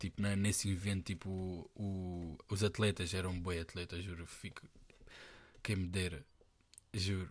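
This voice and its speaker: Against a silent background in a very clean recording, a man with a very deep, low pitch speaks at a fairly slow pace in a monotone, flat intonation, leaving long, frequent pauses. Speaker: podcaster. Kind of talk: casual monologue. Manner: halting.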